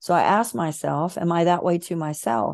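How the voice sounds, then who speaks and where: A woman's fairly low voice with a Southern US accent, lively intonation, and a quiet background. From US South. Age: 50s. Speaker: author and emotional healing coach. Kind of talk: interview.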